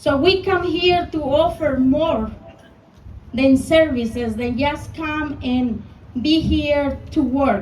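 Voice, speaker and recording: Speaking very slowly in a Mexican accent, a woman with a high voice and ordinary pitch variation is heard against audible room echo. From Mexico. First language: Spanish. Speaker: small business owner, rally speaker. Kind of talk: rally speech.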